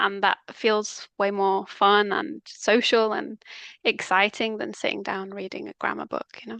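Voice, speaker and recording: In a dry, close sound with no echo, a woman with a Mancunian accent speaks with fairly even intonation. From northern England, Manchester. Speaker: language coach. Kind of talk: casual chat.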